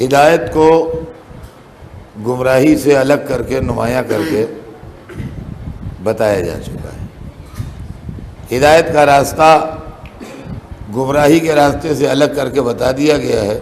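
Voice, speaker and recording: With noticeable background noise behind him, the man's voice shows ordinary variation in pitch. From Lucknow, India. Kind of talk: religious sermon (majlis) delivered to a live audience. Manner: conversational, chatty with humorous asides to the audience.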